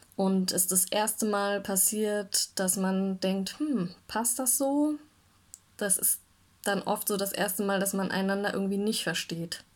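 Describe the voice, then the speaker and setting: The recording is very clean with a silent background. A woman with a medium pitch and ordinary pitch variation speaks at a very slow pace. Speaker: church devotional speaker. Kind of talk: devotional talk.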